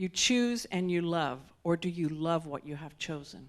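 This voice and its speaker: Against a quiet background, a woman with a fairly low pitch and ordinary pitch variation speaks in an unremarkable speaking voice. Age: 60s. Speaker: guest speaker. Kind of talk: sermon.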